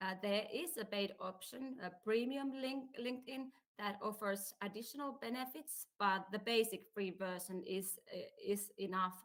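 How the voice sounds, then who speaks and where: A woman with a Finnish accent, fairly high in pitch, at a fairly slow pace with ordinary pitch variation and hardly any pauses. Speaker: career advisor. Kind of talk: presentation.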